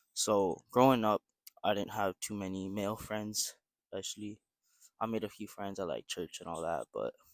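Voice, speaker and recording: This man has a plain, everyday voice, fairly low in pitch, with fairly even intonation at a moderate pace. The sound is dry and close with no echo. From Vancouver, western Canada. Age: 18. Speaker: vlogger, university student. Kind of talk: casual vlog monologue. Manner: casual with frequent fillers.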